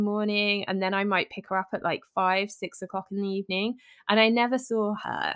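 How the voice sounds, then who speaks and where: A woman at medium pitch with a British accent. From southern England. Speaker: health and fitness podcaster. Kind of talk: interview.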